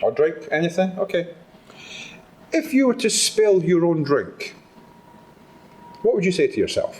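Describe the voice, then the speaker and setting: A man with a Scottish accent speaks in a high pitch with lively intonation and very even loudness, pausing long and often over noticeable background noise. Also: moderate pace. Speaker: motivational speaker. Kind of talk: talk to live audience. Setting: stage with audience. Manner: animated.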